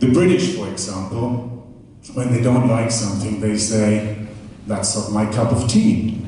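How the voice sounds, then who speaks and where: A man with a German accent at a fairly slow pace, with audible room echo and noticeable background noise. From Germany. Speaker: comedian. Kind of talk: stand-up. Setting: stage with audience. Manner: animated.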